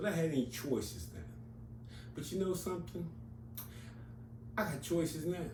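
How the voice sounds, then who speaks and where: A man's medium-pitched, dark, mellow voice with vocal fry and very wide pitch swings, amid audible room echo. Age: 60s. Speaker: comics YouTuber. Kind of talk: casual monologue. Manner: conversational, with fillers.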